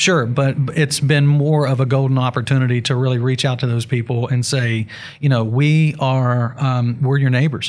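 A man with a West Virginia accent speaks at a moderate pace in a medium pitch, his delivery flat and monotone, his loudness very even, on a very clean recording with a silent background. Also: hardly any pauses. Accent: Appalachian (West Virginia). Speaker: hemp grower and CBD business owner. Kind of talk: interview. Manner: halting, many fillers.

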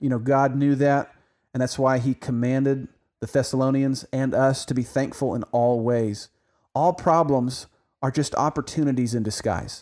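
An unremarkable speaking voice from a man with an American accent, medium in pitch, at a moderate pace with fairly even intonation. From Oklahoma. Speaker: Bible podcast host. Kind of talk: religious podcast discussion.

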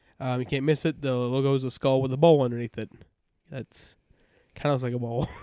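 In an American accent, the voice runs at a very fast pace with long, frequent pauses and a monotone, flat intonation. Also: man, medium pitch for a man, dry, close sound with no echo. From US South. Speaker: podcast co-host. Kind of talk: casual chat.

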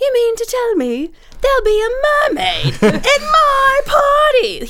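In a put-on character voice with an English accent, the speaker talks at a fairly slow pace and an extremely high pitch over loud background noise. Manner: excited, amazed.

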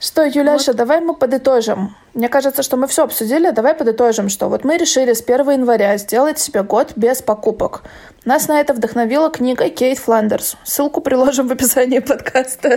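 Dark, mellow tone at a fairly quick pace, with very even loudness. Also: woman, high pitch for a woman, ordinary pitch variation. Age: 20s. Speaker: podcast co-host. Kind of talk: casual chat.

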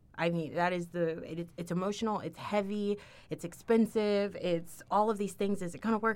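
This woman has an American accent and a medium pitch. She talks at a moderate pace in an ordinary speaking voice. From Texas, Houston. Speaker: university diversity administrator. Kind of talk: casual chat.

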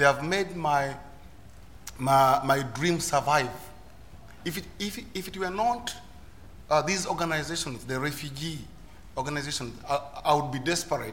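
There is noticeable background noise as a man with a Ugandan accent speaks with long, frequent pauses. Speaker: asylum seeker and volunteer speaker. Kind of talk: personal testimony on panel. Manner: halting, repeats words.

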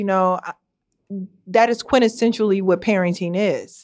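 A normal speaking voice at a moderate pace, with ordinary pitch variation and a quiet background. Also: woman. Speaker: parent, teacher, union member. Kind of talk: casual conversational podcast.

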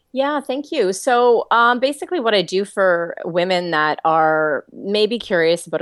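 This woman has a slight Canadian accent. The sound is dry and close with no echo, over a quiet background. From Toronto, Canada. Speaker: author and life coach. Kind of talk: casual interview chat.

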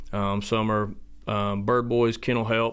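A man at a medium pitch, very slow and monotone, with flat intonation. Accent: Southern US. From US South, South Georgia. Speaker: dog trainer and kennel owner. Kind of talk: interview.

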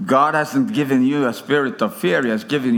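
A man with a Swedish accent and a fairly high pitch, lively intonation at a moderate pace, in audible room echo. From Sweden. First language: Swedish (speaking German). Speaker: preacher. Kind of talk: sermon. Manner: halting.

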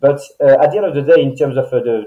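Talking at a very fast pace, a man has a fairly high pitch and a dark, mellow tone. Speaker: band leader and guitarist. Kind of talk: casual interview chat.

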